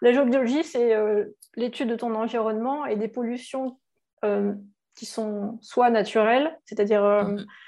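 Woman's fairly high voice at a fairly slow pace, with fairly even intonation over a quiet background. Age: 40s. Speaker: entrepreneur and digital marketing consultant. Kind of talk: interview. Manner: hesitant, many fillers.

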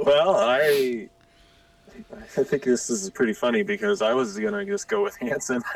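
Speaking at a moderate pace with long, frequent pauses, a man with an American accent makes very wide pitch swings against noticeable background noise. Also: fairly high pitch for a man. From Spokane, Washington. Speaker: podcast guest, old school friend. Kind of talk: casual chat.

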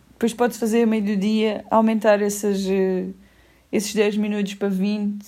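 With a European Portuguese accent, a woman speaks at a moderate pace in a medium pitch, her tone dark and mellow and her intonation monotone and flat. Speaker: podcast co-host. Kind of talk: casual chat.

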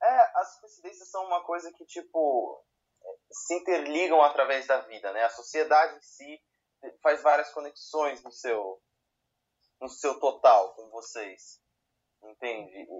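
A man at a fairly high pitch and fairly slow pace, with lively intonation, big swings in loudness, and long, frequent pauses. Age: 20s. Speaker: podcast co-host. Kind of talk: casual chat.

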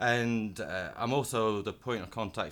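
This is a man speaking. He has a northern English accent. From northern England, Blackburn. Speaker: tech company engineer. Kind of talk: casual interview chat. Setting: conference venue.

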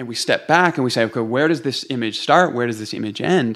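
In a Canadian accent, a man speaks in an unremarkable speaking voice at medium pitch with ordinary pitch variation. The recording is very clean, with a silent background. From Canada, Toronto. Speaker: pastor and author. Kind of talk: podcast interview.

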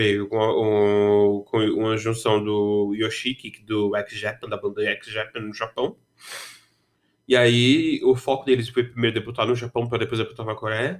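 A man with an unremarkable speaking voice is heard on a very clean recording with a silent background. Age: 20s. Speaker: podcast host. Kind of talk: solo monologue podcast. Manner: casual, rambling with repetitions.

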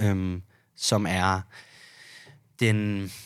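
Against a silent background, a man is heard in a very clean recording. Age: 20s. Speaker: bartender. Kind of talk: casual chat. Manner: hesitant, many fillers.

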